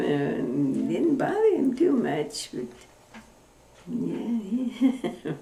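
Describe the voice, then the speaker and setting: Noticeable background noise sits behind a woman talking with an American accent. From Oklahoma, USA. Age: 80s+. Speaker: retired dairy farmer. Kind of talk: oral history interview answer.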